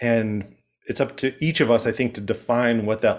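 A man with an American accent talks at a moderate pace and medium pitch, in an ordinary speaking voice. His pitch varies in an ordinary way against a quiet background. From Chicago, US. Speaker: HR professional and connection coach. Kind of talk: casual interview chat.

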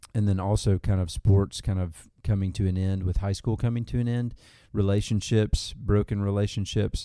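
A dark, mellow tone in a Southern US accent, at a moderate pace with fairly even intonation, in a very clean recording with a silent background. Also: man, fairly low pitch for a man. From Arkansas. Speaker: church outreach minister. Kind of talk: casual interview. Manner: halting, with fillers.

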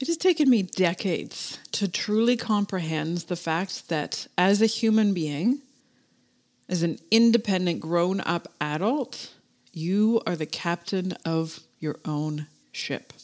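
A woman's medium-pitched voice with lively intonation at a very slow pace, on a very clean recording with a silent background. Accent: Canadian. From Canada. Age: 40s. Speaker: podcast host and business coach for florists. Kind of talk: motivational solo podcast monologue. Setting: home office. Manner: animated.

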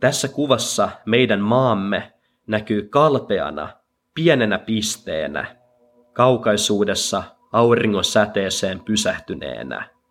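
Over music in the background, a man talks at a very slow pace with a medium pitch. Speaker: podcaster reading a translated speech. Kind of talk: dramatic speech reading, solemn translated monologue. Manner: slow, measured and reverent, with emphatic pauses; earnest and moving, building rhythmically through repeated 'jokainen'.

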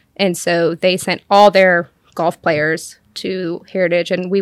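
In a very clean recording with a silent background and a dry, close sound with no echo, a woman with an American accent speaks in a monotone, flat intonation at a fairly low pitch. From Western North Carolina (Cashiers). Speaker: real estate agent and interior designer. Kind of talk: casual chat.

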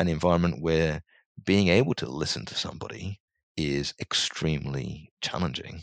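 A man's very deep, low voice with vocal fry and very wide pitch swings, in a British accent, on a very clean recording with a silent background and a dry, close sound with no echo. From England (small town, UK). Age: 40s. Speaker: corporate executive development manager. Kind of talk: interview conversation.

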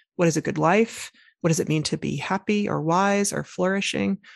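At a fairly slow pace and over a quiet background, a woman speaks in an unremarkable speaking voice with a fairly low pitch. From US South, Arkansas. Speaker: designer and writer. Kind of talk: interview conversation.

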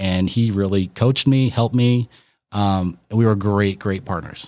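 An unremarkable speaking voice from a man with an American accent and fairly even intonation. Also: very clean recording, silent background. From Colorado, Northeast Aurora. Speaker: realtor. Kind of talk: casual chat.

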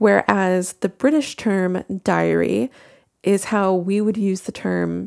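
A woman is speaking. She has an American accent. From United States. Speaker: book reviewer podcaster. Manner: casual, conversational.

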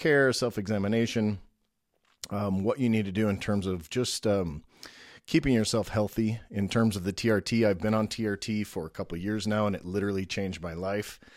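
Speech in a normal speaking voice with ordinary pitch variation and a moderate pace, very clean recording against a silent background. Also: man. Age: 50s. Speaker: podcast host and business owner. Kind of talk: solo podcast introduction. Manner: casual with frequent filler words.

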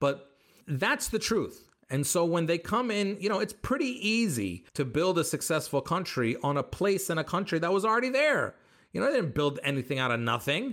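A man with an American accent speaks in an animated tone at a moderate pace, his high pitch making very wide swings. His loudness stays very even, and the recording is very clean with a silent background. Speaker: stand-up comedian. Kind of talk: casual chat.

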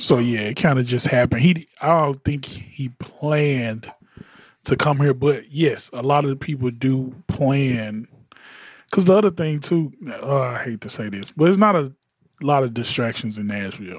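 A man talks at a moderate pace with medium pitch and ordinary pitch variation. He has an unremarkable speaking voice. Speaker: podcast host and music producer. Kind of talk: casual panel chat about audio and music.

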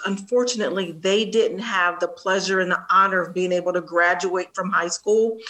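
A woman talks with an American accent, hardly pausing at all. Noticeable background noise sits behind her. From Columbus, Ohio (Linden area), US Midwest. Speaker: nonprofit executive director. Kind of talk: interview. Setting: video call.

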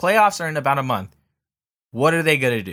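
Very fast and with lively intonation, a man speaks in a bright, sharp tone on a very clean recording with a silent background. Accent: American. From Southern California. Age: 20s. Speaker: sports podcast host. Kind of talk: casual solo sports commentary. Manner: casual, filler-heavy.

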